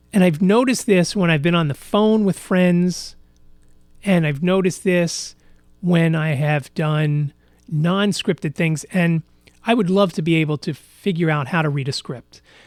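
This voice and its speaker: Music plays in the background as a man talks at a fairly slow pace. His pitch is high, with ordinary variation. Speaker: podcast host. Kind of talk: casual solo podcast monologue. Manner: frequent fillers and repetitions; halting, self-correcting.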